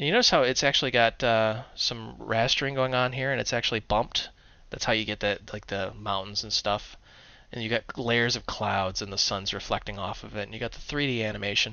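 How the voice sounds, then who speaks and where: Medium in pitch and showing vocal fry, a man speaks at a fairly quick pace with fairly even intonation. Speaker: programming tutorial presenter. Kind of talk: tutorial. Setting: screencast. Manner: casual, humorous.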